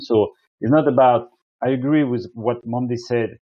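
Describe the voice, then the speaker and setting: The speaker is a man with a French accent. His pitch is medium, with ordinary pitch variation. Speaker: energy company representative. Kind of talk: webinar presentation. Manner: halting.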